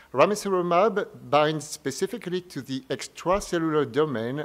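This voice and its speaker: A man with a French accent, lively intonation and a moderate pace, on a very clean recording with a silent background. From France. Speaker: medical oncologist. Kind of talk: conference press briefing presentation. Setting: press briefing at a medical conference. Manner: formal.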